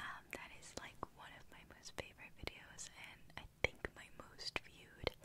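Through noticeable background noise comes a woman's whisper, moving fairly slowly. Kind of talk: ASMR whispering video to camera. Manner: soft, whispery.

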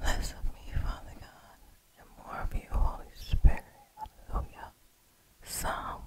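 Whispering in a gentle tone, a woman with an American accent speaks at a fairly slow pace. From New York City, United States. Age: 30s. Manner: slow, gentle, whispery ASMR delivery. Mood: prayerful, devout. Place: home room. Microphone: studio mic.

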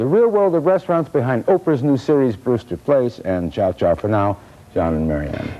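With music behind him, a man talks at a moderate pace. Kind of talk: commentary. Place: studio.

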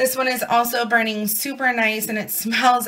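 A woman speaks at a moderate pace with a bright, sharp tone. Her pitch sits fairly high.

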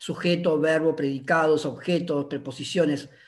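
The speaker is a man whose pitch sits fairly high. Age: 50s. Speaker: linguistics professor and researcher; linguistics professor. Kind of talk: academic conversation. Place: home room. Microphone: video call.

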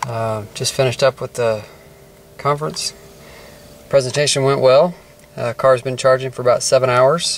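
Over light background noise, a man talks at a moderate pace with fairly even intonation in a dry sound with no echo. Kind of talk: casual vlog commentary. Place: car. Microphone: phone near.

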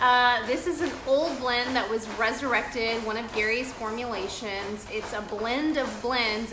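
A woman talks at a fairly slow pace with a fairly high pitch and a bright, sharp tone. Room echo is audible.

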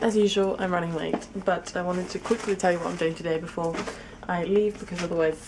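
Someone talks at a fairly quick pace in a monotone, flat delivery, with noticeable background noise behind. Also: woman. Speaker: student vlogger. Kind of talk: casual vlog chat. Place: home room. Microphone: phone near.

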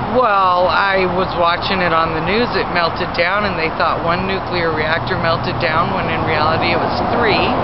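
A woman's fairly low-pitched voice at a moderate pace, with fairly even intonation, very even loudness, hardly any pauses and noticeable background noise. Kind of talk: street interview answer. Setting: outdoors at a roadside corner.

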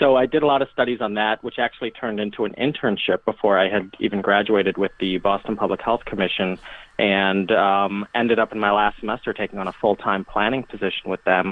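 A man talks at a very fast pace with fairly even intonation. His pitch sits fairly low. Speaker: disaster preparedness expert. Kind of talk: casual chat.

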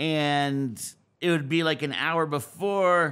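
Loud and bright with a sharp tone, a man speaks with fairly even intonation over a quiet background. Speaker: snowboard podcast host, interview guest; podcast guest. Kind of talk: casual interview conversation; interview answer. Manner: loud talker. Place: studio. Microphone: studio mic.

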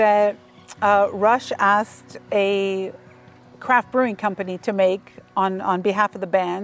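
Over faint music in the background, a woman speaks slowly with monotone, flat intonation and very even loudness, the sound dry with no echo. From Canada. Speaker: author; quiz host. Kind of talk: casual conversation. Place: open country.

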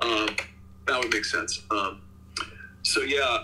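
With light background noise, a man speaks at a fairly slow pace in an American accent. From US. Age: 60s. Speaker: video game composer; interviewee. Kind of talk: interview. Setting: video call. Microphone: video call.

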